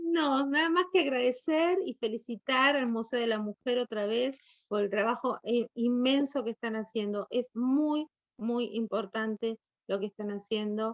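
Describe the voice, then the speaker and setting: With ordinary pitch variation, a high-voiced woman speaks in a dry, close sound with no echo. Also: fairly slow pace. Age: 60s. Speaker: guest lecturer on poetry. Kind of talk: virtual conference Q&A.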